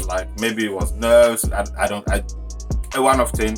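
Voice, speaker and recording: Fairly quick speech with very wide pitch swings and music in the background. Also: man. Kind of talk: casual storytime to camera.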